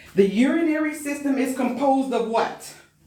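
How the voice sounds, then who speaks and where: Amid noticeable background noise and audible room echo, a woman with an American accent speaks at a moderate pace in a high, animated voice with ordinary pitch variation. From US Midwest, Chicago. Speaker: medical assistant exam instructor. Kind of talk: live online exam review class. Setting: live stream with chat.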